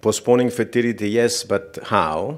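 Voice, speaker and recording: In a non-native accent, the speaker talks at a very slow pace on a very clean recording with a silent background. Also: man. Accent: foreign. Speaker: fertility doctor and professor. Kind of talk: conference lecture. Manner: halting.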